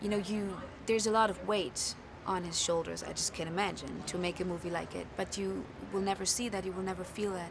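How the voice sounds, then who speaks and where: A woman speaks at a fairly quick pace with a German accent. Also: medium pitch for a woman, fairly even intonation. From Germany. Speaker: film actor. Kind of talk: press interview.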